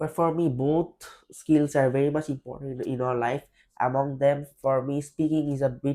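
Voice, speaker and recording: This man speaks at a fairly quick pace in a medium pitch, his intonation flat and monotone. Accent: Bangladeshi. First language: Bengali. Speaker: IELTS test candidate. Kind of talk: mock speaking exam interview. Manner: hesitant, with fillers and restarts.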